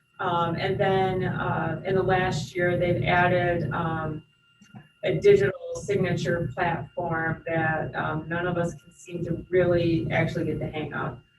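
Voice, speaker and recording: Over noticeable background noise, a woman speaks at a very slow pace with fairly even intonation and a fairly low pitch. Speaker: airport director. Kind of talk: board meeting presentation. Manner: hesitant, many fillers.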